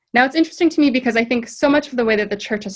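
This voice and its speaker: The voice belongs to a somewhat breathy woman. She talks with an American accent. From US West Coast, San Francisco. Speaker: ministry diversity director. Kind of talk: webinar talk. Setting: video call. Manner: fast.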